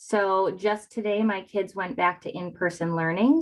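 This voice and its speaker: Her pitch medium and its variation ordinary, a woman talks at a fairly slow pace. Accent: slight northern Wisconsin. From northern Wisconsin. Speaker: real estate agent. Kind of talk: interview. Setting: video call.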